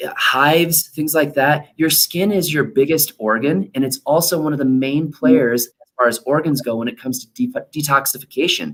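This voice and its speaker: A man's normal speaking voice, fairly high-pitched, with lively intonation, big swings in loudness, a moderate pace and hardly any pauses. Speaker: chiropractor. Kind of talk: workshop talk. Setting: live online workshop.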